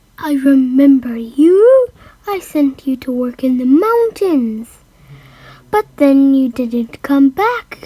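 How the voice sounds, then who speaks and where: A woman puts on a character voice at a very slow pace. Her high pitch swings very widely. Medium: read story.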